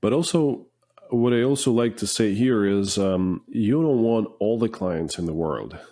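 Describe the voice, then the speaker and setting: A man with a non-native accent talks at a fairly low pitch with a dark, mellow tone and lively intonation over a quiet background. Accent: foreign. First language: not English. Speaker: finishing business owner. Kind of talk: podcast interview.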